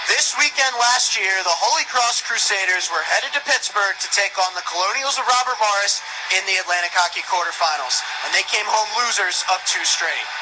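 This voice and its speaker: A man talks at a fairly quick pace in a high voice with lively intonation. Background noise is noticeable. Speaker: radio play-by-play announcer. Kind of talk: radio broadcast game preview intro.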